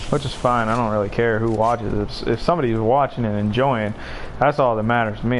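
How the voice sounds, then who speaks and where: A man speaks at a very fast pace, his pitch medium. His intonation is fairly even, with noticeable background noise around him. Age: 20s. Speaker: gaming streamer. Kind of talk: casual chat. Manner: casual, swearing freely.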